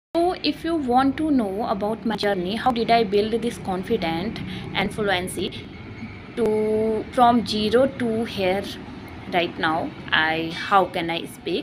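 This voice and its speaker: Someone speaks at a very slow pace with an Indian accent. Noticeable background noise runs underneath. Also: woman. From India, Uttarakhand. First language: Hindi. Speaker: English learner vlogger. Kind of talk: personal vlog monologue. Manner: halting, self-correcting.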